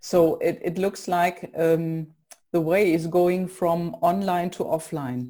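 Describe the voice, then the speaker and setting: Very slowly, a woman with a German accent speaks in a dark, mellow tone with fairly even intonation. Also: fairly low pitch for a woman. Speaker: podcast host. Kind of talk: interview.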